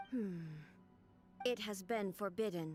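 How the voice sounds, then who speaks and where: Over clear music in the background, a female-sounding voice delivers a put-on character voice at medium pitch for a woman. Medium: video game. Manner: flat, clipped, formal.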